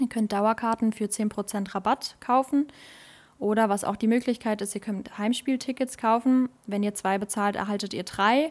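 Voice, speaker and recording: A woman's plain, everyday voice, fairly high-pitched, with fairly even intonation and a moderate pace, on a very clean recording with a silent background. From Germany, Westerwald region. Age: 20s. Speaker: table tennis club social media manager. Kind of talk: casual chat; promotional announcement.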